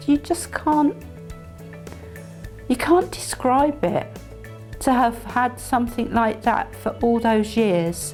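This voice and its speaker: With music playing behind her, a woman talks at a very slow pace, her loudness very even and her speech marked by long, frequent pauses. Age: 60s. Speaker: patient. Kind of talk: interview answer. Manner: hesitant, casual.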